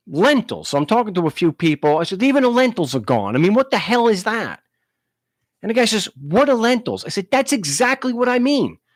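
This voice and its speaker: A man with a New York accent talks at a fairly quick pace. His high voice swings very widely in pitch. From Long Island, New York. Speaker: talk show host. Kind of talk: live call-in show, casual talk. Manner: halting, many restarts.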